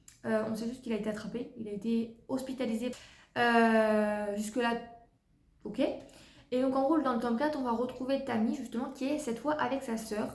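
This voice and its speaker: Speaking at a moderate pace with long, frequent pauses, a woman has a fairly high pitch and fairly even intonation, with audible room echo. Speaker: book reviewer. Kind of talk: casual book review vlog.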